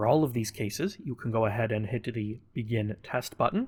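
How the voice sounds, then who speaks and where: At a moderate pace, a man with a medium pitch and a somewhat breathy voice uses ordinary pitch variation on a very clean recording with a silent background. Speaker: gaming tutorial creator. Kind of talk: tutorial.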